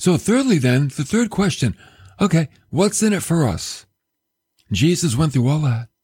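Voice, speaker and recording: The tone is dark and mellow, with very wide pitch swings. Long, frequent pauses break up the speech. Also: man, fairly high pitch for a man, moderate pace. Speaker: radio preacher. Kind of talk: sermon. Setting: radio and podcast broadcast. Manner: animated, emphatic preaching style; conversational, direct address to listeners.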